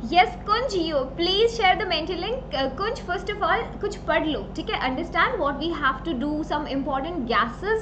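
A woman's extremely high voice at a moderate pace, with noticeable background noise. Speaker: online teacher. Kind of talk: live class chat reading viewer comments. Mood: cheerful, laughing. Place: home room. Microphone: webcam.

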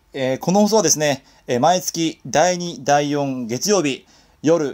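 The recording is very clean, with a silent background. A man talks at a moderate pace in a fairly high voice. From Kawaguchi, Saitama, Japan. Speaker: singer-songwriter; radio DJ. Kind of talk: casual internet radio talk.

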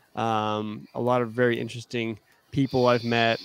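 A plain, everyday voice belongs to a man who speaks with an American accent at a fairly slow pace, with fairly even intonation over a quiet background. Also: dry sound with no echo. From Arizona, US. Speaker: youth minister. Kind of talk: interview. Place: home room. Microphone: studio mic.

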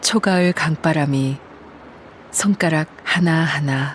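Soft-spoken and calm in tone, a woman talks at a very deep, low pitch with ordinary pitch variation over noticeable background noise. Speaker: voice actor. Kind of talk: audiobook-style literary narration. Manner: calm, soft-spoken.

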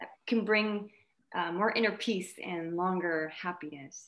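The speaker uses ordinary pitch variation at a moderate pace. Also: woman. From Montreal, Quebec, Canada (Vietnamese family). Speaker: actress. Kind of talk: casual interview chat; interview answer. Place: home room. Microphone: video call.

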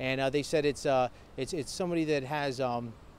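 A man speaks with an American accent and ordinary pitch variation. The sound is dry with no echo, over light background noise. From Mahoning Valley, northeast Ohio. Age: 30s. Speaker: political candidate. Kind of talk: candidate interview. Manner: halting, many fillers. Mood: earnest, defensive about opponent. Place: street.

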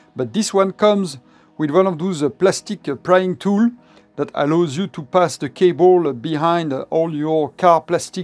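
The speaker keeps a moderate pace. Faint music plays in the background. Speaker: product reviewer. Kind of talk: unboxing commentary. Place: home room.

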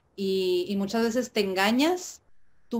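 Ordinary pitch variation in a woman's speech. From Mexico, Tijuana. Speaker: indie rock musician. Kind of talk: interview. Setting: video call. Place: home room.

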